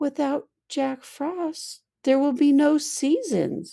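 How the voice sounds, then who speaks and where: A woman uses a put-on character voice, high-pitched and sad in tone. She speaks very slowly. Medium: read story. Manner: soft, sad.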